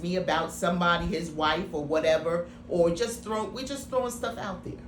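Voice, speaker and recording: A woman with a fairly low voice speaks over noticeable background noise, and audible room echo surrounds her. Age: 50s. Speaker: actress and writer. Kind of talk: interview. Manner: halting.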